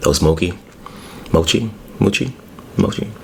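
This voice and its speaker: Amid noticeable background noise, a man speaks in a very deep, low pitch with ordinary pitch variation. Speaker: ASMR mukbang creator. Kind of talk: casual talk to camera while eating. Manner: casual, chatty, conversational.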